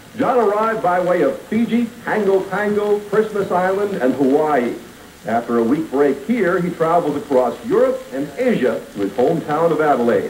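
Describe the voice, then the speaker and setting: Moderate-paced speech with light background noise and audible room echo. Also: man, high pitch for a man. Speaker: TV sports narrator. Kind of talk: documentary narration. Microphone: old recording.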